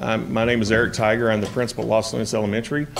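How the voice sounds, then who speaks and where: Speech comes at a very fast pace. Noticeable background noise is present. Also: man. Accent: American. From US South. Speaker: school principal. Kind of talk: formal address to school board. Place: meeting room. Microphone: podium.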